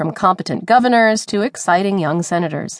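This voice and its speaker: A woman with a normal speaking voice talks at a medium pitch and a fairly quick pace. The background is quiet, and the sound is dry and close with no echo. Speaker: audiobook narrator. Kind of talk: audiobook reading of a newspaper opinion essay. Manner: formal; even, measured.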